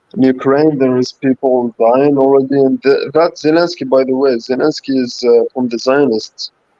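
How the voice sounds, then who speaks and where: A man speaks fairly slowly at a fairly high pitch with fairly even intonation. The sound is dry and close, with no echo. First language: not English. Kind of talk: live stream discussion. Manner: halting, many fillers.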